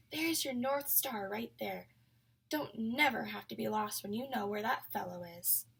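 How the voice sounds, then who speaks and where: A soft-spoken woman uses a put-on character voice at medium pitch and a moderate pace. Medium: read story. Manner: soft, low, folksy.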